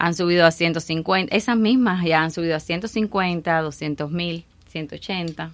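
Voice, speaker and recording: A fairly low-pitched woman at a very slow pace, with ordinary pitch variation. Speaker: real estate expert. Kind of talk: radio panel discussion.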